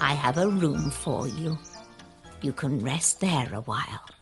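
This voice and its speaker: A put-on character voice at a middle pitch speaks at a fairly slow pace. Clear music is heard in the background. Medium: read story. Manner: sweet, motherly.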